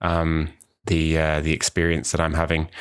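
On a very clean recording with a silent background, a man talks at a fairly slow pace in a very deep, low pitch. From New Zealand. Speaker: podcast host, university language student. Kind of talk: solo podcast introduction. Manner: casual, hesitant with many fillers.

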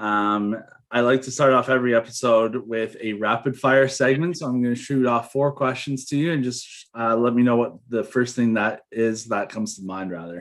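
Against a quiet background, a man with a Canadian accent uses an unremarkable speaking voice at medium pitch, a moderate pace and ordinary pitch variation. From Toronto, Canada. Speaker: podcast host. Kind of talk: casual interview.

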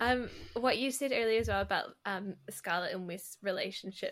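Bright and sharp in tone, a woman speaks with a New Zealand accent. Her pace is moderate and her pitch variation ordinary. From New Zealand, south. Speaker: podcast host. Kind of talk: casual interview.

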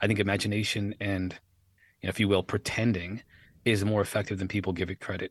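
At a very fast pace, a man speaks with a fairly low pitch against a quiet background. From United States. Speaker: podcast host. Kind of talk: casual interview chat. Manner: fast talker.

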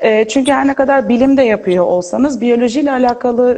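A woman at a fairly quick pace. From Turkey, Izmir. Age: 20s. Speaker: neuroscience graduate student. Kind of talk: interview. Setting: Instagram live video call.

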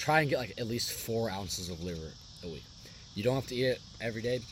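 Here a man talks at a fairly quick pace. His pitch is fairly low, and there is noticeable background noise. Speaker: podcast host. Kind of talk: casual monologue. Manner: fast.

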